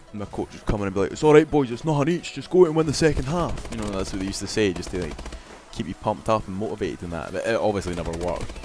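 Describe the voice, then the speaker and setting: A man with a Scottish accent talks at a very fast pace in a fairly low pitch, with very wide pitch swings and big swings in loudness. Background noise is noticeable. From Scotland. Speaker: gaming commentator. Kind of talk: gameplay commentary. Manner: animated.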